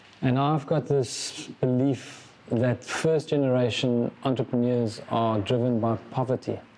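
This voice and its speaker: With hardly any pauses, a medium-pitched man talks at a fairly slow pace, with very even loudness, fairly even intonation and noticeable background noise. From South Africa. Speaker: business founder and CEO. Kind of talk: interview.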